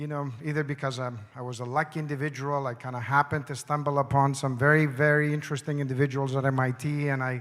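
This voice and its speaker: A man with a non-native accent and a fairly high pitch rushes at a very fast pace with hardly any pauses in a monotone, flat intonation, on a very clean recording with a silent background. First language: not English. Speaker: conference speaker. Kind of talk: conference presentation.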